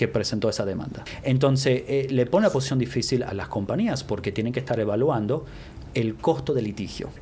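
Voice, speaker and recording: In an Argentine accent, a man speaks at a fairly quick pace with a medium pitch and ordinary pitch variation. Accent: Argentine-tinged Spanish. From US-born to Argentine parents. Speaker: lawyer. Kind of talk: interview. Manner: mixes English words into Spanish.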